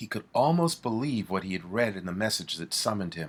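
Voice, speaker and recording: A man with a normal speaking voice talks at a fairly low pitch with lively intonation. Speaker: author reading own book. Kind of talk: audiobook reading of a horror thriller.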